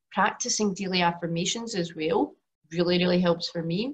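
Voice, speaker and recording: A woman speaks with a Glaswegian accent at a fairly quick pace. Her pitch is fairly low and her voice somewhat breathy. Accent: Glaswegian Scottish. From Scotland, Glasgow. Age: 40s. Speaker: yoga teacher and women's health coach. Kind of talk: webinar presentation.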